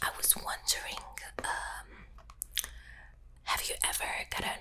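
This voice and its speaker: A woman is whispering at a fairly slow pace. Noticeable background noise runs beneath her. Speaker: ASMR creator. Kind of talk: ASMR get-to-know-you whisper. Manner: whispered, soft-spoken, slow.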